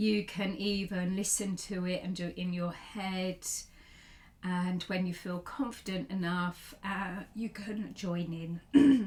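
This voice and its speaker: Calm in tone, a woman speaks at a very slow pace with a medium pitch. Her voice is somewhat breathy, her intonation fairly even. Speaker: yoga teacher. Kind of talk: guided practice. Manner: slow, calm.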